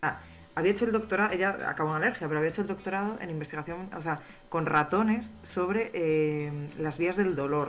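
A woman with a fairly low pitch speaks fairly quickly. Her pitch varies normally, and background noise is noticeable. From Spain, Galicia (Vigo). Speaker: allergist doctor. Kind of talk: interview on a live stream.

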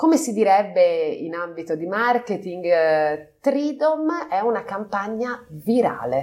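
Her fairly high voice moves through very wide pitch swings as this woman speaks. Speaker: company partner, business executive. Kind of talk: interview. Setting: on location at company office.

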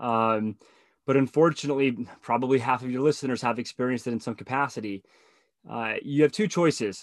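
A man speaks with an American accent in an ordinary speaking voice, medium in pitch, at a fairly quick pace with ordinary pitch variation. The very clean recording has a silent background and a dry, close sound with no echo. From Southern California. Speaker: tech professional and divorced father of two. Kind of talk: casual chat.

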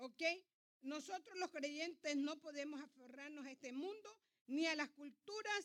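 A woman's high-pitched, bright, sharp voice, at a fairly slow pace with lively intonation. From Ecuador. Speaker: pastor. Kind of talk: sermon.

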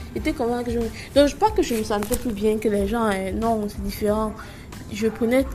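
A woman with a fairly high pitch talks at a moderate pace with fairly even intonation. Long, frequent pauses break up her speech, and there is noticeable background noise. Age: 20s. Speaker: podcaster. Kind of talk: casual monologue.

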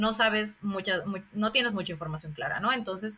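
A normal speaking voice from a woman, medium in pitch, with ordinary pitch variation and a fairly quick pace. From Bolivia. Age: 30s. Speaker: sociologist and scholarship advisor. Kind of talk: interview.

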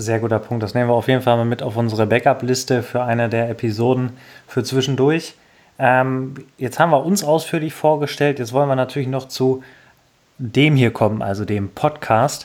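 The man has an unremarkable speaking voice pitched in the medium range. He keeps a moderate pace and a fairly even intonation. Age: 20s. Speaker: podcast host, gamer. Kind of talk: casual chat.

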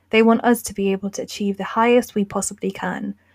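In a very clean recording with a silent background and a dry, close sound with no echo, a woman with a British accent and medium pitch speaks at a fairly quick pace with ordinary pitch variation. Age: 20s. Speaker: podcast host. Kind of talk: scripted narration.

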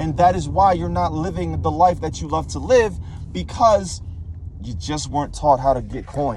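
With noticeable background noise, a man speaks in an intense tone. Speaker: motivational ranter. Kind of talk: angry rant, profane and preachy, scolding the listener about money and mindset. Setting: solo voice memo recording into a mic. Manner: animated, lecturing and blunt.

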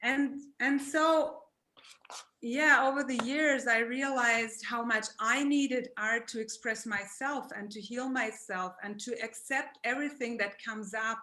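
Speaking at a high pitch with a German accent, a woman keeps her intonation fairly even. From Germany. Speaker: therapist and artist. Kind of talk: art presentation. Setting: video call.

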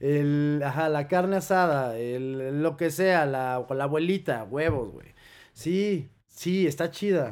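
Very slow speech with ordinary pitch variation, in a very clean recording with a silent background. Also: man. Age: 30s. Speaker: DJ and house music producer. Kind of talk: casual interview chat.

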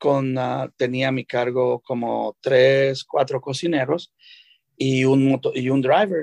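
Very slowly and with fairly even intonation, a man talks in a dry, close sound with no echo. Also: medium pitch for a man. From El Salvador. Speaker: chef. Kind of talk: interview. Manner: halting, many fillers.

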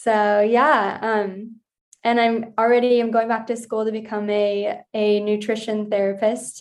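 An unremarkable speaking voice from a woman, fairly high-pitched and fairly slow, with fairly even intonation against a quiet background. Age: 20s. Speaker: holistic health coach. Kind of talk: casual chat.

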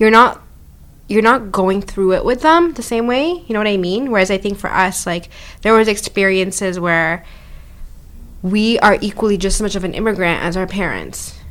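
In a Canadian accent, a woman speaks at a moderate pace with a normal speaking voice, medium pitch and ordinary pitch variation. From Canada, Ottawa; family from Zambia. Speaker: podcast co-host. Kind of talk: casual chat.

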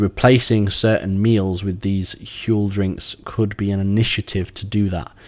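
A man with an English accent speaks at a fairly slow pace with fairly even intonation. The recording is very clean, with a silent background. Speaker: cycling coach and podcast host. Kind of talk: solo podcast monologue. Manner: halting with many fillers.

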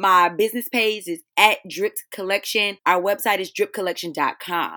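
A woman speaks at medium pitch and a moderate pace, her tone bright and sharp. The sound is dry and close with no echo, in a very clean recording over a silent background. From US South, North Carolina. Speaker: teacher and beauty business owner. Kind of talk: casual interview.

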